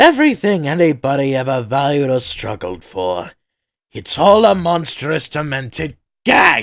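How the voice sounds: The man puts on a character voice pitched fairly high. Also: moderate pace.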